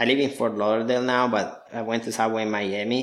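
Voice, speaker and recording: A man speaks at a moderate pace in an Italian accent, his intonation flat and monotone. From southern Italy (Apulia, near Lecce). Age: 30s. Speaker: digital marketing agency owner. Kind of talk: interview.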